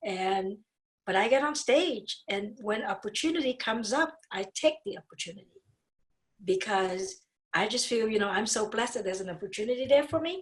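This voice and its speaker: This woman speaks with a Vietnamese accent at a fairly high pitch. Her pace is fairly quick and her intonation lively. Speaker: dentist and speaker. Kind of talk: podcast interview. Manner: animated.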